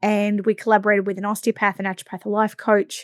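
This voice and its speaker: Very fast speech comes from a woman with an Australian accent. The sound is dry and close with no echo, on a very clean recording with a silent background. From Australia, Victoria coast. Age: 40s. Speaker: podcast host, massage business coach. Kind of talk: podcast monologue.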